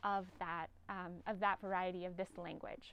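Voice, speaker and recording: A woman speaks in a Northern California accent. Her pace is moderate. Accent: Northern Californian American English. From US West Coast (Humboldt Bay, Northern California). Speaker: linguistics professor. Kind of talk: lecture. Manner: hesitant, many fillers.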